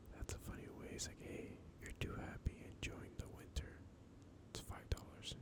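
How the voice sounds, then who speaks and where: The voice is whispering. It moves at a moderate pace. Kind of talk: ASMR soft spoken facts narration. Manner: soft-spoken, casual, conversational.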